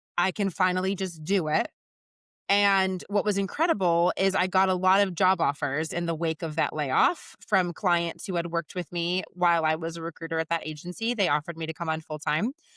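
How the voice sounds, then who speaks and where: Loud and fairly quick, a woman speaks at a fairly low pitch with a bright, sharp tone. The recording is very clean and dry, close with no echo, over a silent background. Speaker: recruiter and business founder. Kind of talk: podcast interview. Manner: animated.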